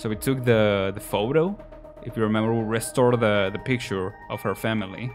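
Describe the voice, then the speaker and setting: Music in the background behind a man. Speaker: gaming video creator. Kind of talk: gameplay commentary. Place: home room. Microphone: studio mic.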